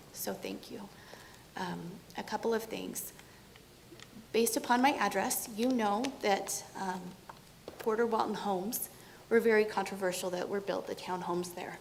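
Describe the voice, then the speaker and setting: A woman with an American accent speaks at medium pitch and a moderate pace with fairly even intonation, taking long, frequent pauses amid audible room echo and noticeable background noise. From California. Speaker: resident giving public comment. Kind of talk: public comment at city council meeting. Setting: city council meeting in city hall.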